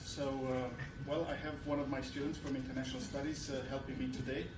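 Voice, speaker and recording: Noticeable background noise is present. Against it, a man talks at a moderate pace. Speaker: university program director and event moderator. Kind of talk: event moderation and introductions. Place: classroom. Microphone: podium.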